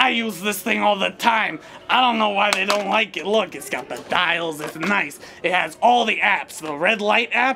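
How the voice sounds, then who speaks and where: Someone speaks in a raised, projected voice at a moderate pace. Background noise is clearly audible. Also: man, high pitch for a man, ordinary pitch variation. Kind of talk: comic overacting. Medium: comedy sketch.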